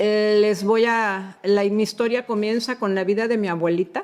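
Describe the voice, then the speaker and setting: Very slow speech comes with ordinary pitch variation. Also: woman. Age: 60s. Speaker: retired homemaker giving testimony. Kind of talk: testimony.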